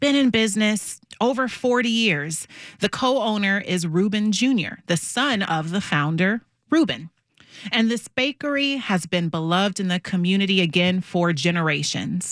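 In a very clean recording with a silent background, a woman with a plain, everyday voice speaks at a medium pitch and moderate pace, her intonation lively and her loudness very even. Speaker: radio host. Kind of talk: live radio show, talk segments. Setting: studio.

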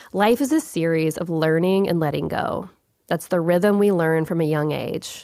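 A woman's calm, dark, mellow voice at a moderate pace, fairly low in pitch with ordinary pitch variation. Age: 30s. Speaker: podcast host. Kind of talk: reflective monologue.

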